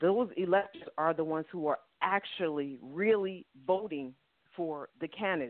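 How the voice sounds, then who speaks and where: A woman with an American accent has an unremarkable speaking voice, a fairly low pitch and ordinary pitch variation. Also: moderate pace. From New York. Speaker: caller. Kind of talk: call-in discussion.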